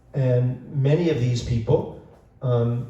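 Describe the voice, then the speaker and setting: A man speaks at medium pitch with a dark, mellow tone that is somewhat breathy. His intonation stays fairly even, and there is audible room echo. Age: 70s. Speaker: bookstore owner and event host. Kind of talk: event introduction. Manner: halting, many fillers.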